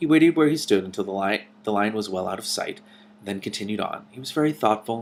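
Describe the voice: Lively intonation in a plain read-aloud delivery.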